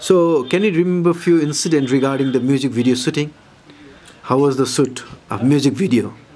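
A man with a Nepali accent talks at a very fast pace and a fairly high pitch, with ordinary pitch variation. His speech has long, frequent pauses. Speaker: interviewer. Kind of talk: interview.

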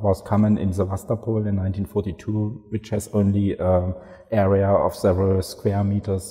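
With a quiet background, a man talks at a fairly slow pace in an unremarkable speaking voice, fairly low in pitch, with fairly even intonation. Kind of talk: interview answer. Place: hall.

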